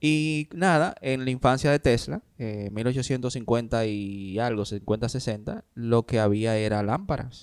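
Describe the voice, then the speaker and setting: At a very slow pace with hardly any pauses, a man speaks with ordinary pitch variation. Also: medium pitch for a man. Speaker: podcast co-host. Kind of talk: casual chat.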